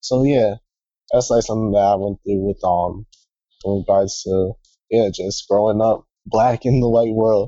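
This man has an ordinary speaking voice, pitched fairly low, moving at a moderate pace with fairly even intonation. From US, California and Maryland. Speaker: student, retreat participant. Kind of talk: casual group chat.

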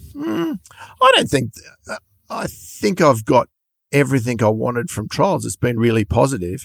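With an Australian accent, a man of medium pitch speaks at a moderate pace with lively intonation and long, frequent pauses. The sound is dry and close, with no echo. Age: 60s. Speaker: trials bike importer and dealer. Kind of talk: interview.

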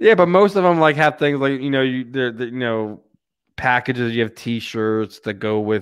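Against a quiet background, a man with an American accent talks at a moderate pace and medium pitch with lively intonation. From Philadelphia area. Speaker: podcast host. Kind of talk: casual sports talk podcast. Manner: animated.

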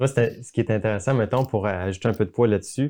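With a dark, mellow tone, a man speaks at a very fast pace. His pitch is medium and his intonation fairly even. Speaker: video communication coach. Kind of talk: casual chat. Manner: calm.

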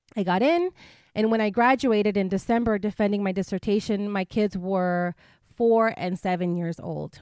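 A woman speaks in a normal speaking voice at medium pitch, at a moderate pace with ordinary pitch variation. The recording is very clean, with a silent background and a dry, close sound with no echo. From US-Mexico border, Imperial Valley, California. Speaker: scholar, researcher. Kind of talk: casual interview.

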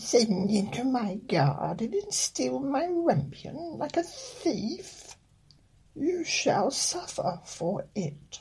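This man puts on a character voice with an extremely high pitch. His delivery is very slow. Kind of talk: bedtime story reading with comic asides. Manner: angry, indignant, then stern and bargaining.

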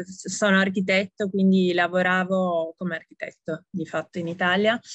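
With hardly any pauses, a woman talks at a medium pitch and fairly even intonation. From Italy. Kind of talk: interview.

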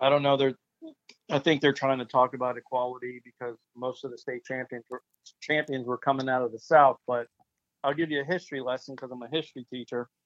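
The delivery is very fast, in an American accent. The intonation stays monotone and flat. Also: man, medium pitch for a man. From Florida. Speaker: high school football coach. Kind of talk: interview.

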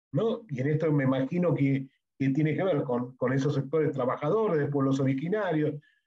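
Fairly high-pitched for a man, his voice has a dark, mellow tone and is somewhat breathy. He keeps a fairly quick pace, very even loudness and ordinary pitch variation. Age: 60s. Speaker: podcast co-host. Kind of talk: reflective conversation.

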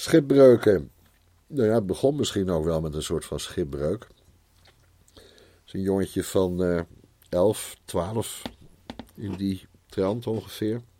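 A man with a very deep, low pitch and a dark, mellow tone speaks at a very slow pace with lively intonation, big swings in loudness and long, frequent pauses. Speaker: Bible teacher. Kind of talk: improvised personal testimony. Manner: halting.

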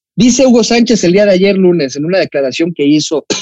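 In a Mexican accent, the voice has a dark, mellow tone with very wide pitch swings, recorded dry and close with no echo. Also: man. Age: 20s. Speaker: football podcast host. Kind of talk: casual chat.

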